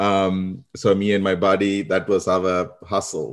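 Against a quiet background, a man speaks in a very deep, low voice with a Sri Lankan accent. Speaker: marketing consultant. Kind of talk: interview.

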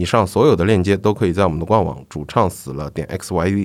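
A man's very deep, low voice with ordinary pitch variation at a fairly quick pace, in a very clean recording with a silent background. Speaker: music podcast host. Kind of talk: solo podcast monologue. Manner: frequent fillers and hesitations.

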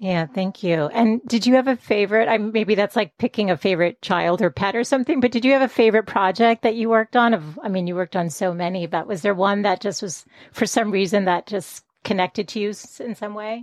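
A woman's normal speaking voice at a medium pitch, fairly quick with hardly any pauses, ordinary pitch variation, quiet background. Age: 40s. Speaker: podcast host. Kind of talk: interview.

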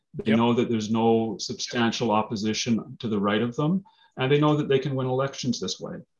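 At a fairly quick pace, a man talks in an ordinary speaking voice at a medium pitch. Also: ordinary pitch variation. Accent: Canadian. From Manitoba, Canada (Brandon). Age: 50s. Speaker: lawyer and political candidate. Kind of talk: interview.

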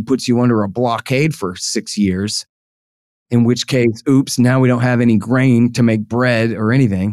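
Someone speaks with a Texas accent at a moderate pace. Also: man. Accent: Texas snark. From Texas, Austin. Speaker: foreign policy writer and libertarian commentator. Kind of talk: interview. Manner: animated.

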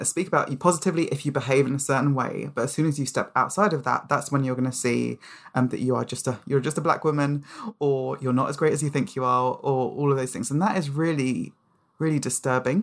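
With a London accent, a woman talks in a very deep, low pitch. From London, England (Nigerian-born). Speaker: author and charity public engagement head. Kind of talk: casual interview chat.

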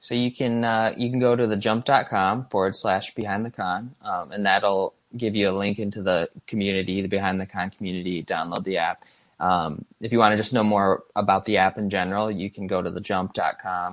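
Here a man talks at a fairly quick pace with a Midwestern American accent. His voice is fairly low, with fairly even intonation. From Michigan. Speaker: app design and illustration coordinator. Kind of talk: casual interview. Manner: halting, many fillers.

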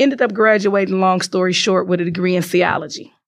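With an American accent, a woman uses a plain, everyday voice at medium pitch and a moderate pace. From Chicago, US Midwest. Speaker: IT business relationship manager and entrepreneur. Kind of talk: interview.

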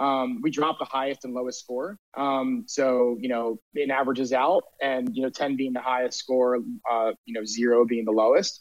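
A man with an American accent talks at a moderate pace and medium pitch, with hardly any pauses, fairly even intonation, and an unremarkable speaking voice. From Delaware, US. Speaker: surf league community executive. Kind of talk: interview. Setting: live stream.

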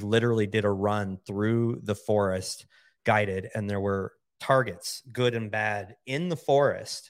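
On a very clean recording with a silent background, a man uses an unremarkable speaking voice, fairly low in pitch, with fairly even intonation at a fairly slow pace. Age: 50s. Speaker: entrepreneur. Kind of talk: casual chat.

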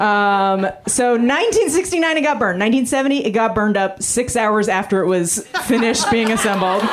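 A woman with fairly high pitch, lively intonation and very even loudness at a moderate pace with hardly any pauses, amid audible room echo and noticeable background noise. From Canada. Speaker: stand-up comedian. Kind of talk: stand-up. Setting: stage with audience.

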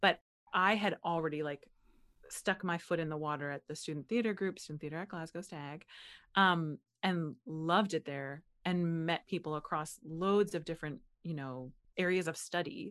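In a very clean recording with a silent background, a woman speaks at a moderate pace with a fairly low pitch, ordinary pitch variation and a plain, everyday voice. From Butler, Pennsylvania. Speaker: actress and writer, teaches public speaking. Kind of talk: casual interview chat. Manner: filler-heavy, says 'like' often.

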